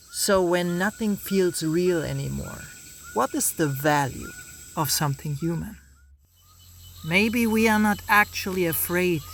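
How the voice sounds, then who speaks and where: Noticeable noise fills the background. The delivery is fairly slow. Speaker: video essayist. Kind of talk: reflective video essay narration. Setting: outdoors.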